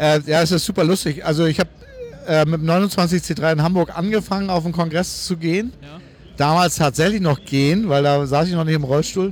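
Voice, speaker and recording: Against noticeable background noise, a man with a fairly high pitch talks at a moderate pace, keeping very even loudness and fairly even intonation. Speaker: podcast host, wheelchair user. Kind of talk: casual interview on location. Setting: walking through a crowded convention hall. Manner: hesitant, many fillers.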